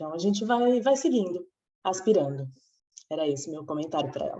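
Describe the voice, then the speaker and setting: Fairly quick and fairly low in pitch, a woman's voice moves through very wide pitch swings. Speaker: meditation group participant. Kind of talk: casual group discussion. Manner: halting.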